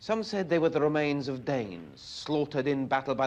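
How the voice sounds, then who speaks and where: A man speaks at a medium pitch with lively intonation in an unremarkable speaking voice. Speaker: television reporter. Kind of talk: documentary newsreel narration.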